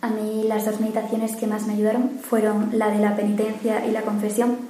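A woman talks with a fairly high pitch in a monotone, flat intonation. Noticeable background noise is present. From Mérida, Spain. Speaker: university student, retreat participant.

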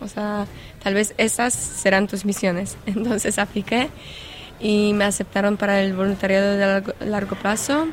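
A woman with a Polish accent speaks at a medium pitch and a moderate pace, her intonation monotone and flat. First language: Polish (speaking Spanish). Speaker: volunteer coordinator. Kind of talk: interview. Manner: halting.

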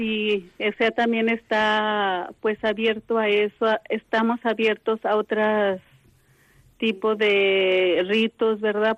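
Against a quiet background, a woman speaks in a flat monotone at a fairly high pitch, with a dry, close sound and no echo. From Mexico. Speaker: contemplative nun. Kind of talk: phone interview. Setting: phone call.

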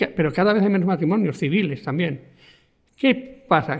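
At a high pitch, a man talks with lively intonation. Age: 70s. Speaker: sociologist. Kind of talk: radio interview.

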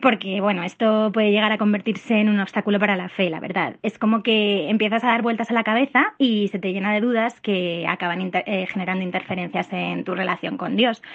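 A woman's unremarkable speaking voice, medium-pitched with fairly even intonation, at a fairly quick pace with hardly any pauses. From Madrid, Spain. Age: 30s. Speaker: listener. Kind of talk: recorded voicemail question. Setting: voicemail.

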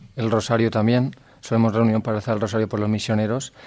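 A man with an unremarkable speaking voice, medium pitch, and fairly even intonation. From Valencia region, Spain (Gandía). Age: 20s. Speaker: seminarian. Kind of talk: radio interview. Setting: radio recording in a seminary.

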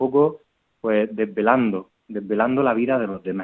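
A man's medium-pitched voice moves along at a fairly slow pace. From Murcia, Spain. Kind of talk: interview testimony. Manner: halting, with fillers and repetitions.

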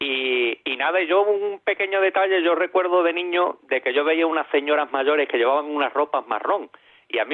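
This man has an ordinary speaking voice, fairly high in pitch, with ordinary pitch variation at a fairly quick pace. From Ceuta. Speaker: caller. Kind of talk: phone-in chat.

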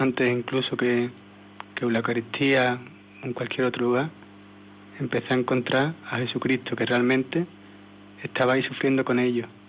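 In an Andalusian accent, the speaker goes at a moderate pace with monotone, flat intonation, very even loudness, and long, frequent pauses over noticeable background noise. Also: man, medium pitch for a man. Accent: Andalusian (Seville) Spanish. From Seville, Spain. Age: 20s. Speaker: missionary volunteer. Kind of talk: testimony. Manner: halting.

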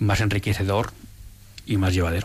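Somewhat breathy and at a fairly quick pace, a man talks with monotone, flat intonation. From Bilbao, Spain. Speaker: radio presenter and university professor. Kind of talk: testimony. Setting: studio.

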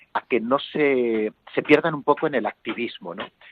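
A man talks at a moderate pace with ordinary pitch variation. His is an unremarkable speaking voice. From Spain, Toledo province (near Talavera de la Reina). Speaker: priest. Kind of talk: phone interview. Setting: phone call.

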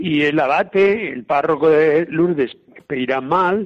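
Fairly high-pitched for a man, a plain, everyday voice with ordinary pitch variation. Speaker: priest. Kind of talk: talk on a saint's life.

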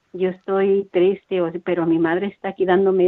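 This woman speaks with a fairly low pitch. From Mexico. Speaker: parish radio volunteer. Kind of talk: testimony.

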